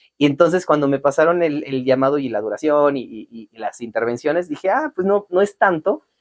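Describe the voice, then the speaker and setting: Talking at a fairly quick pace with hardly any pauses, a man uses lively intonation and big swings in loudness, in a dry, close sound with no echo. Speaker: voice actor. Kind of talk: interview.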